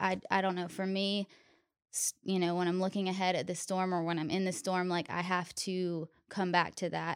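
Her intonation stays monotone and flat. The speaker is a woman. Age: 20s. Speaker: guest sharing grief story. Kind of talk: testimony.

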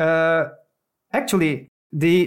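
The speaker is a man with a Turkish accent. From Turkey. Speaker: software engineer. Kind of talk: casual interview. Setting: video call.

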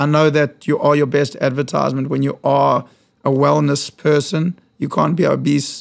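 Speaking with a South African accent, a man keeps a moderate pace and very even loudness. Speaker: fitness studio founder. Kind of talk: casual interview chat. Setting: studio.

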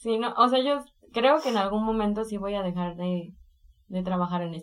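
Speaking at a moderate pace, a woman uses an ordinary speaking voice at medium pitch with ordinary pitch variation. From Mexico, Colima. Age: 20s. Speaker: illustrator and art workshop teacher. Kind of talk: interview.

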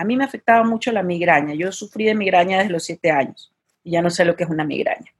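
A woman talks fairly quickly at medium pitch, her pitch varying in an ordinary way. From Ecuador, Guayaquil. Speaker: vegan festival founder. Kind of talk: interview conversation. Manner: halting.

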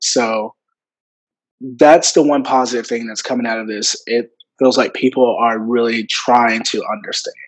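A man speaks at a moderate pace, his pitch in the middle range. His intonation stays fairly even. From US South, Memphis Tennessee area. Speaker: student and content creator. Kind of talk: casual interview. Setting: video call.

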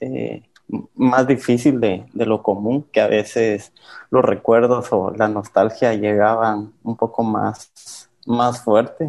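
Against a quiet background, a man talks at a very slow pace and medium pitch with fairly even intonation. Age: 20s. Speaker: former orphanage resident. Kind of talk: interview testimony.

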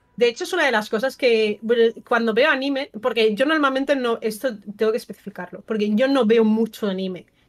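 Her fairly high pitch varies in an ordinary way as a woman with a normal speaking voice talks fairly quickly. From Valencia, eastern Spain (Burjassot). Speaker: streamer and film guest. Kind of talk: casual chat.

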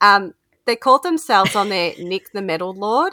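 An Australian-accented woman with a fairly high pitch, an animated tone and a moderate pace, in a dry, close sound with no echo and a very clean recording with a silent background. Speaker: podcast co-host. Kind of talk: casual chat. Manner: giggly, animated.

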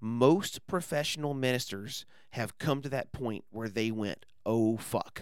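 At a fairly slow pace, a man with a plain, everyday voice speaks at medium pitch with ordinary pitch variation. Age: 30s. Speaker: podcaster and former evangelist. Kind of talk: casual chat.

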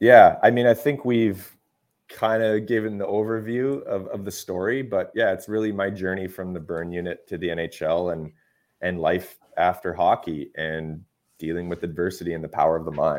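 An unremarkable speaking voice with a Canadian accent, ordinary pitch variation and a moderate pace. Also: man, fairly low pitch for a man. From Canada. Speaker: retired pro hockey player and performance coach. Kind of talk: podcast interview.

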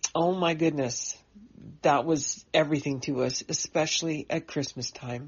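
A woman with a Canadian accent speaks at a fairly slow pace in a very deep, low voice with a warm tone and ordinary pitch variation. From British Columbia coast, Canada. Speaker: writer. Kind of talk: personal memoir, told aloud. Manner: warm, nostalgic.

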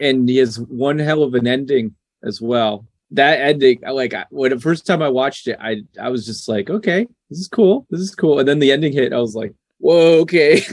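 A man speaks in a normal speaking voice, fairly high in pitch, with ordinary pitch variation at a moderate pace. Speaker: filmmaker. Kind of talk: interview chat.

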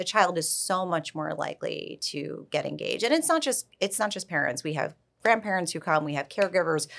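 With an American accent, a woman talks at a fairly quick pace with hardly any pauses. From New York. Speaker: early childhood program founder. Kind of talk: casual interview.

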